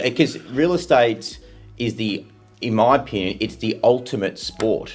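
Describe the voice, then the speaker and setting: A man speaks at a fairly slow pace with ordinary pitch variation while music plays in the background. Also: medium pitch for a man. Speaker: podcast interviewer and host. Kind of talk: casual interview conversation.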